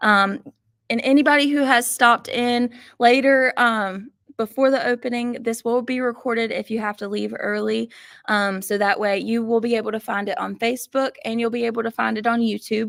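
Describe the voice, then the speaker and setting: With a Southern US accent, this voice has fairly even intonation and a dry, close sound with no echo. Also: woman, fairly high pitch for a woman, moderate pace. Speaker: sewing machine instructor. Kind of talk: live online class tutorial. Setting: livestream broadcast.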